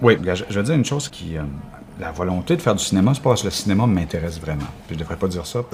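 Over noticeable background noise, a man with a Quebec accent talks at a very fast pace, his very deep, low pitch carried by lively intonation. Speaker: theatre artist. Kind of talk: casual chat.

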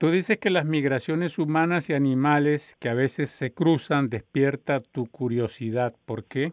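A man talks in a normal speaking voice at a fairly slow pace, with hardly any pauses. His pitch is fairly high and varies in an ordinary way. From Colombia. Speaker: radio host. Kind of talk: interview.

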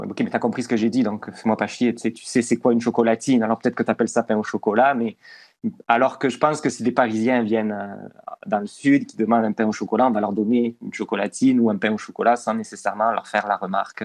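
Over a quiet background, a man talks very fast at a medium pitch in a flat monotone, his loudness swinging widely in a dry, close sound with no echo. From southwest France, Toulouse. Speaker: communications manager. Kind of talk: interview.

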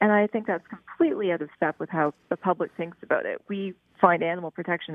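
A plain, everyday voice from a woman, with ordinary pitch variation at a fairly quick pace. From Prince Edward Island, Canada. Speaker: animal rights advocate. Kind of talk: interview.

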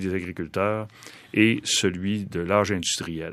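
Very slowly, a man with a fairly low pitch speaks in a very clean recording with a silent background. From Quebec, Saguenay region. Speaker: biologist and professor. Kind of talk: radio interview.

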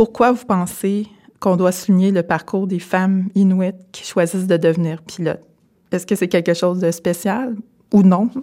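Dark and mellow in tone, a woman's voice moves at a moderate pace. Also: medium pitch for a woman, fairly even intonation. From Quebec, Témiscamingue First Nation. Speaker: podcast host. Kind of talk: interview. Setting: aircraft hangar.

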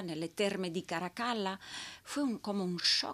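Lively intonation from a woman at a fairly slow pace. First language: not Spanish; learned Spanish as a child in Peru (speaking Spanish). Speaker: opera singer. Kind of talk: interview. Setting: studio.

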